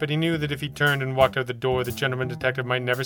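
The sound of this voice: The intonation is fairly level. It comes from an unforced reading voice.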